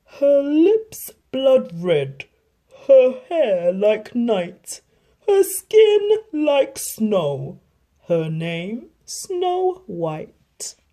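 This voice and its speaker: A female-sounding, put-on character voice, high-pitched, at a very slow pace with very wide pitch swings. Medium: read story.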